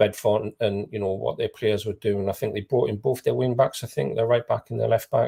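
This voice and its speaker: On a very clean recording with a silent background, a man with an English accent speaks, the sound dry and close with no echo. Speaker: non-league football pundit. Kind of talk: live football discussion. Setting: live broadcast.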